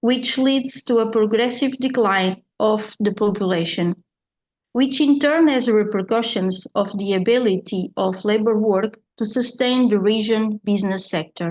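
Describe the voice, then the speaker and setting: A woman talks fairly slowly in a Portuguese accent, her pitch fairly high with ordinary variation. Her loudness stays very even. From Portugal. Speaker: librarian. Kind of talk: conference presentation.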